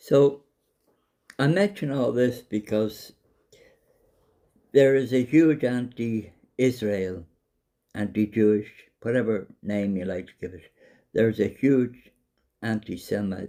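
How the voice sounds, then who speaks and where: In a Dublin accent, a man with a dark, mellow, medium-pitched voice talks very slowly with long, frequent pauses and big swings in loudness, on a very clean recording with a silent background. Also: ordinary pitch variation. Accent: Irish (Dublin). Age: 70s. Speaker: vlogger. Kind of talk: monologue to camera.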